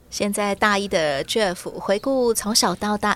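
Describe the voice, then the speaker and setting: A woman with an unremarkable speaking voice talks fairly slowly at a medium pitch with ordinary pitch variation. The recording is very clean, with a silent background. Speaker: podcast host. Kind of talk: interview.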